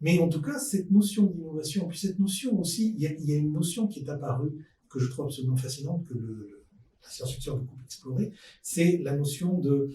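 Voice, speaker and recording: The man has a fairly high pitch, a dark, mellow tone and a somewhat breathy quality. He speaks at a fairly quick pace with ordinary pitch variation. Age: 60s. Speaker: podcast guest, futurist expert. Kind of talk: panel discussion.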